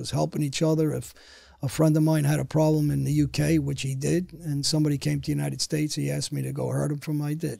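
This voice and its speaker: Speaking very fast with a New York accent, a man comes through dry with no echo over a quiet background. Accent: New York (Queens). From New York City (Queens); New York City. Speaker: former mob enforcer, motivational speaker; motivational speaker. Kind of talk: interview storytelling. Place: studio. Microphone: studio mic.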